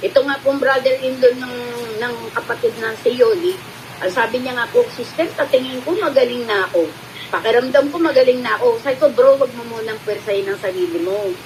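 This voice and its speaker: Her pitch is high, her intonation lively, as a woman talks at a fairly quick pace. Noticeable background noise runs underneath. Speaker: faith healer. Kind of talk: religious testimony livestream.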